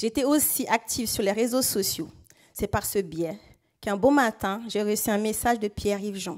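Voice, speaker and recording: Speaking with a Central African accent, a woman talks at a moderate pace in a fairly high pitch with ordinary pitch variation. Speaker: local elected official and resident. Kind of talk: prepared speech. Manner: formal.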